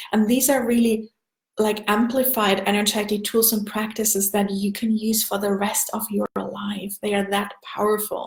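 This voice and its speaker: In a German accent, a woman speaks at a moderate pace with a fairly high pitch and monotone, flat intonation. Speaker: energy healing coach. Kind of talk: live stream sales pitch. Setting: Facebook live video.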